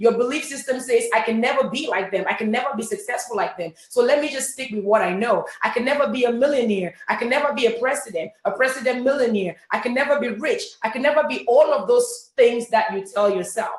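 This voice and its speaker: A woman's high, animated voice with a Cameroonian accent, fairly quick and with hardly any pauses, over music in the background. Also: ordinary pitch variation. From Cameroon, French-speaking part. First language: French. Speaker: network marketing leader. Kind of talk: motivational talk. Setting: webinar.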